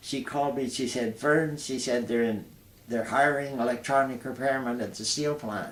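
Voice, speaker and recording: A man speaks at a moderate pace with an Ontario accent. His pitch sits in the medium range, and the room echo is audible. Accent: Canadian (Ontario). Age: 80s+. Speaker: retired air force veteran. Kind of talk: interview. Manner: halting.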